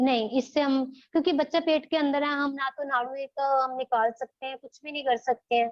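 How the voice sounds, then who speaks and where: Her voice is high for a woman and flat, monotone in intonation, with big swings in loudness. She keeps a moderate pace with hardly any pauses. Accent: Punjabi. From Punjab, India. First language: Punjabi (speaking Hindi). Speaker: childbirth educator. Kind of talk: online class lecture.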